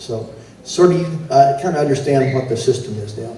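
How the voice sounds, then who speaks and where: An American accent with fairly even intonation, plus audible room echo and noticeable background noise. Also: man. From Texas. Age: 70s. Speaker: competition announcer and band judge. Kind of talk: event announcing. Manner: casual, halting with fillers.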